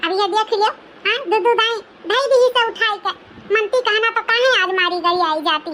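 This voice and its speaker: Doing a cartoonish character voice, a woman speaks at an extremely high pitch and a fairly quick pace, with ordinary pitch variation, very even loudness and clear background noise. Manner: loud, rapid, scolding.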